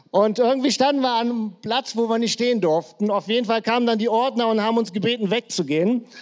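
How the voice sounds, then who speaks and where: The speaker is a man with a high pitch. He goes at a fairly quick pace. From Germany, Krefeld. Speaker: pastor. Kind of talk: church service introduction. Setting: church stage with audience. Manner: casual.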